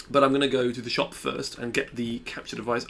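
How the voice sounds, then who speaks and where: A man speaks at a fairly quick pace with medium pitch. His intonation stays fairly even. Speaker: gaming youtuber. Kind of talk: tutorial. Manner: fast.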